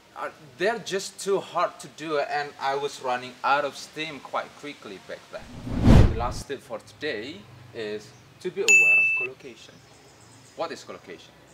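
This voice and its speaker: Speaking at a moderate pace with an Indonesian accent, a man shows big swings in loudness over noticeable background noise. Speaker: English tutor. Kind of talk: tutorial.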